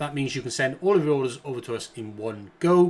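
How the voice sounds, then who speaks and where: A man in a British accent speaks at a moderate pace and medium pitch, with ordinary pitch variation, on a very clean recording with a silent background. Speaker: online business coach. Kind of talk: tutorial.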